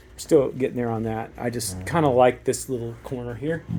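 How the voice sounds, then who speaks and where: Over noticeable background noise, a man with a medium pitch and ordinary pitch variation speaks at a moderate pace. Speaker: broadcast engineer. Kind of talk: walkthrough tour. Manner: casual with fillers.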